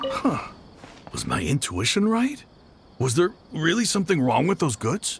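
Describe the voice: A man puts on a character voice with a husky, rough edge and vocal fry at a fairly high pitch. He speaks at a fairly slow pace with very wide pitch swings.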